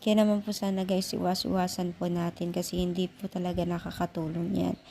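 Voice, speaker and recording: A woman speaks at medium pitch with monotone, flat intonation. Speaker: vlogger commenting on online drama. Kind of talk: casual vlog commentary with channel call to action.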